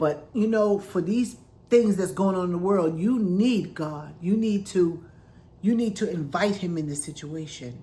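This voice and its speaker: In an American accent, a woman speaks at a fairly slow pace in a dark, mellow, somewhat breathy voice of medium pitch, with ordinary pitch variation and audible room echo. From New York City, Queensbridge. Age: 60s. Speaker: vlogger sharing health story. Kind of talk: personal testimony. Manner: conversational, animated.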